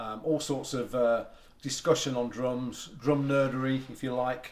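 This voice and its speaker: The man speaks at a medium pitch and a fairly slow pace. His intonation stays fairly even. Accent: English. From England. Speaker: drum collector and artist manager. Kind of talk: casual guided tour. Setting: home drum room. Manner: casual with many fillers.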